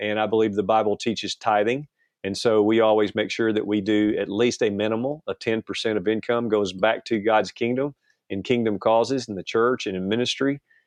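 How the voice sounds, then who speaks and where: Using an ordinary speaking voice, a man talks at a fairly quick pace and medium pitch with fairly even intonation. The sound is dry and close, with no echo. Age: 60s. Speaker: pastor and outdoor TV producer. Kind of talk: interview conversation.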